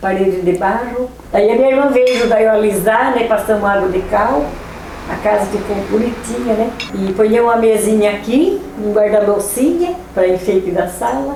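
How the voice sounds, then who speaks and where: A woman with a fairly high pitch and ordinary pitch variation talks at a moderate pace. Noticeable background noise and audible room echo fill the recording. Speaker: elderly local resident. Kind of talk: oral history interview.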